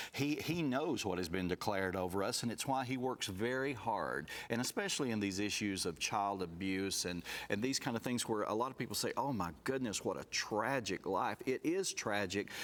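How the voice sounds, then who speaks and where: With a Southern US accent, a man with a fairly low pitch speaks at a moderate pace with lively intonation, hardly any pauses and very even loudness, on a very clean recording with a silent background. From US South, rural Alabama. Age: 60s. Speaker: abuse survivor sharing his story. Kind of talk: testimony.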